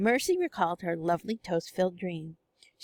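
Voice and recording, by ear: A quiet background behind reading aloud in a natural voice.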